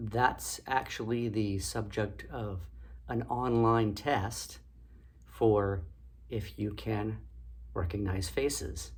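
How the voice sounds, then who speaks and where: Speaking very slowly with long, frequent pauses, a man with a fairly low pitch and vocal fry uses lively intonation while audible room echo surrounds him. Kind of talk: educational talk. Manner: casual, with fillers.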